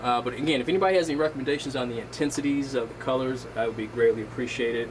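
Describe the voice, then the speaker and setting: A medium-pitched male voice over noticeable background noise. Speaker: aquarium hobbyist vlogger. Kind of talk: casual tutorial. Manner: hesitant with fillers.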